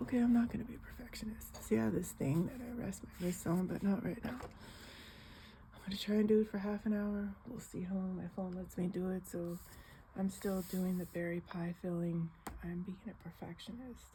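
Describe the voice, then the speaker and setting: A soft-spoken woman talks at a moderate pace. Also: medium pitch for a woman, ordinary pitch variation. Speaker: coloring video creator. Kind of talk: casual chat. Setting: home living room.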